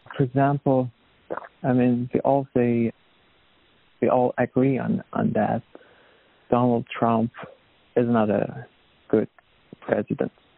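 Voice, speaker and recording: The speech moves at a very slow pace with long, frequent pauses, fairly even intonation and very even loudness. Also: man, medium pitch for a man. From Iran. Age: 20s. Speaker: refugee, artist and activist. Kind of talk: interview testimony. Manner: halting.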